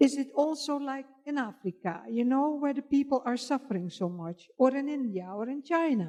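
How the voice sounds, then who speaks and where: A woman talks at a moderate pace with hardly any pauses and lively intonation. Her high voice has a dark, mellow tone. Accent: non-native. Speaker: audience member asking questions. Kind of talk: audience question. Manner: halting.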